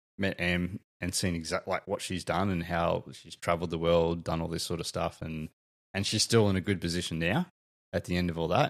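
A man speaks in a very deep, low voice at a fairly quick pace. The recording is very clean, with a silent background. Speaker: father, guest on parenting podcast. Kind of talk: casual chat.

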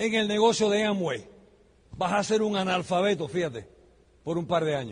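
A man speaks with an animated tone and a high pitch that shows ordinary variation. He keeps a moderate pace broken by long, frequent pauses. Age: 60s. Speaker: business speaker. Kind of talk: motivational talk.

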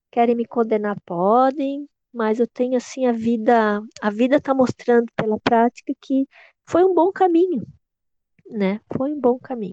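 A woman speaks at a fairly slow pace with a high pitch and lively intonation. Her tone is dark and mellow, the sound dry and close with no echo. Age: 50s. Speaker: Waldorf early childhood educator. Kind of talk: interview.

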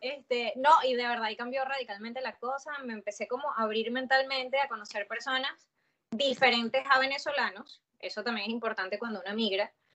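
Speaking at a fairly quick pace, a woman holds a high pitch with fairly even intonation. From Venezuela (Valencia). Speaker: podcaster and journalist. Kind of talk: casual chat.

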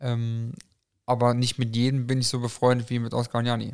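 Monotone and flat, a man's medium-pitched voice moves at a fairly quick pace. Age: 20s. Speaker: amateur football referee. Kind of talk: casual chat.

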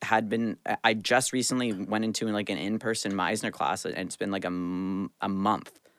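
A man with an ordinary speaking voice talks at a fairly low pitch and a moderate pace with hardly any pauses and fairly even intonation, on a very clean recording with a silent background. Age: 20s. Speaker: actor and former pro hockey player. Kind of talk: casual chat.

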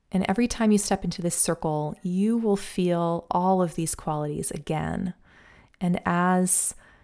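A woman speaks very slowly in a dark, mellow, soothing and calm tone at a fairly low pitch, on a very clean recording with a silent background. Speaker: violin teacher and podcast host. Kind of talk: guided meditation; solo podcast monologue, conversational. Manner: slow, soothing, calm; gentle, unhurried, hypnotic.

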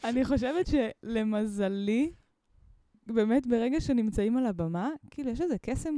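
This woman has a dark, mellow tone. Her pitch sits fairly high. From Israel, Mitzpe Ramon. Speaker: musician and preschool teacher. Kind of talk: casual interview chat.

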